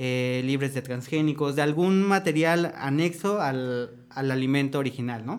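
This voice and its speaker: The pace here is fairly slow. It is a normal speaking voice. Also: man. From Mexico, State of Mexico. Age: 20s. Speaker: chef. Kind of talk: casual panel discussion.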